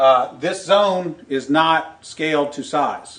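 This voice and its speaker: A man with a Southern US accent and ordinary pitch variation, against noticeable background noise. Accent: Southern American. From Tennessee. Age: 40s. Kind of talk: comedic explanatory talk with chart.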